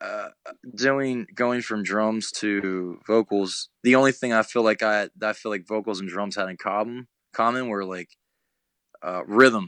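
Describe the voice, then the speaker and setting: A man with an ordinary speaking voice talks at a fairly slow pace and fairly low pitch, his intonation fairly even but his loudness swinging widely. The sound is dry and close with no echo, over a quiet background. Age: 20s. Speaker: hardcore band vocalist. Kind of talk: casual chat.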